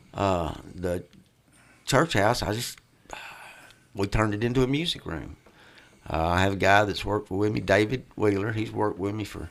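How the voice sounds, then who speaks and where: A man with a West Tennessee accent speaks at a moderate pace in a fairly low voice. His pitch varies in an ordinary way, with long, frequent pauses. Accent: US Southern (West Tennessee). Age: 60s. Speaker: music venue owner and guitarist. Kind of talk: casual chat.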